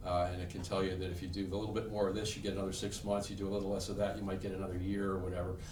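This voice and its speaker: With audible room echo, the voice runs at a very fast pace and keeps a fairly even intonation. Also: man. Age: 60s. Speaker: insurance and retirement planning advisor. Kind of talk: TV interview.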